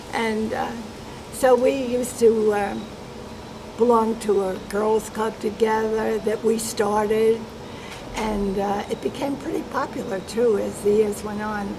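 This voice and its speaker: The speaker has an American accent, a fairly slow pace and monotone, flat intonation. Noticeable background noise and audible room echo are present. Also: woman, fairly high pitch for a woman. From New York, US. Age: 90s. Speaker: interviewee. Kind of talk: oral history interview. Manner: halting.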